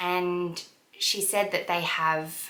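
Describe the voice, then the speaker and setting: A woman's fairly low-pitched voice, with fairly even intonation and audible room echo. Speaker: lifestyle vlogger and wellness coach. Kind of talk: casual vlog talk.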